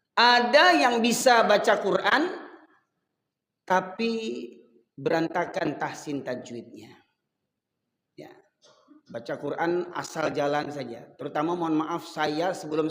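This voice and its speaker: Recorded with audible room echo, a man with a high pitch speaks in an animated tone at a fairly slow pace, his lively intonation marked by big swings in loudness and long, frequent pauses. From Sumatra, Medan. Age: 50s. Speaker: Islamic preacher. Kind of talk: sermon.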